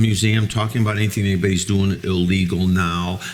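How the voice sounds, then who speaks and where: Against noticeable background noise, a man with an American accent and a fairly low pitch talks at a fairly quick pace with ordinary pitch variation. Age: 60s. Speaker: former mobster. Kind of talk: panel talk with audience. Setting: museum event with audience.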